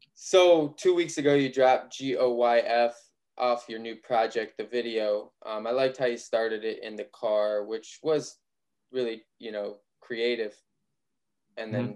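This man has an ordinary speaking voice with an American accent and a medium pitch. He talks at a fairly slow pace with ordinary pitch variation. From Ohio. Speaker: podcast interviewer. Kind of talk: casual interview.

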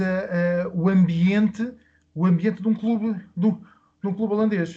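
A man's dark, mellow tone with ordinary pitch variation against a quiet background. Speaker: sports club founder. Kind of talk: interview. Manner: halting.

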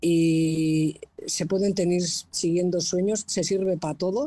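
With a fairly low pitch, a woman speaks in a dark, mellow tone and a monotone, flat intonation. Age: 50s. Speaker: painter, audience participant. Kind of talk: casual chat.

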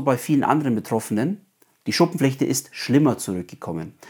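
A man's ordinary speaking voice at medium pitch, with lively intonation at a moderate pace, on a very clean recording with a silent background. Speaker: psoriasis coach and podcaster. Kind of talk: solo podcast monologue.

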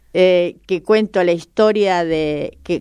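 Speaking at a very slow pace, a woman uses a medium pitch with ordinary variation in it. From Argentina, La Pampa. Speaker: model and teacher, author. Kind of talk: radio interview.

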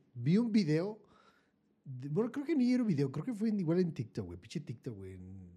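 A man with a Mexican accent speaks at a high pitch. His tone is dark and mellow, and his intonation is lively. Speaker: podcast co-host. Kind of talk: casual chat.

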